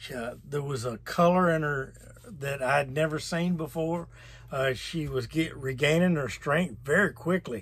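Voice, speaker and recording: A man with a fairly high pitch and a plain, everyday voice speaks at a fairly slow pace with ordinary pitch variation. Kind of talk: personal testimony to camera, storytelling. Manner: emotional, recounting hardship.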